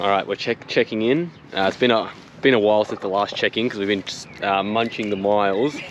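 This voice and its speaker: A man with an Australian accent speaks at a fairly quick pace. Noticeable background noise can be heard. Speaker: motorcycle vlogger. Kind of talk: casual travel vlog.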